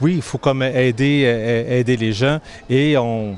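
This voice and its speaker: A man talks at a medium pitch. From Quebec, Granby. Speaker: humanitarian volunteer. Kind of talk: interview. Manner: hesitant, repeating words.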